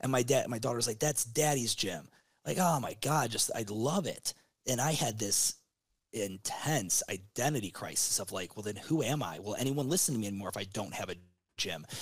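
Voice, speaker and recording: Here a man talks at a moderate pace in a medium-pitched, somewhat breathy voice. His intonation is lively. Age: 30s. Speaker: gym business consultant. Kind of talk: casual interview.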